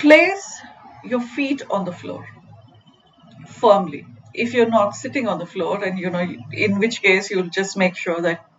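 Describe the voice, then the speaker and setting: Over noticeable background noise, the speaker goes at a fairly slow pace with lively intonation. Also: woman. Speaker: mindfulness coach. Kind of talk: guided meditation. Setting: live stream.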